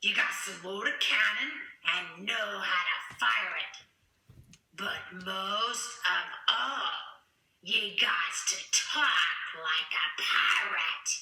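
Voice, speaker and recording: A cartoonish character voice talks at a fairly high pitch and a very slow pace, with long, frequent pauses. Slight echo surrounds it. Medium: puppet.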